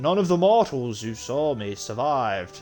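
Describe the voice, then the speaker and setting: Over faint background music, a man speaks in a put-on character voice at medium pitch and a moderate pace. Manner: menacing.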